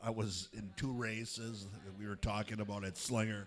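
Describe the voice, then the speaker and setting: This man has a normal speaking voice. His pitch is medium. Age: 60s. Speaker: restaurant owner and race sponsor. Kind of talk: casual interview. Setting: restaurant, crowded.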